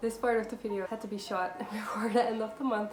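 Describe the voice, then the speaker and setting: Over noticeable background noise, a woman speaks at a very fast pace with a fairly high pitch. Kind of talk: casual voiceover for a craft video. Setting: laptop microphone.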